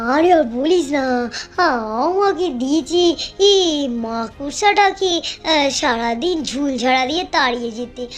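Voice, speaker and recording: A cartoonish character voice with high pitch moves at a fairly slow pace over clear background noise. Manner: fretful, old-fashioned speech.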